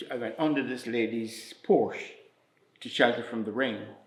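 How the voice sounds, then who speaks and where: With audible room echo, a man speaks at a medium pitch and a fairly slow pace with fairly even intonation. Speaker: community elder. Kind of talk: interview testimony. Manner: halting, many fillers.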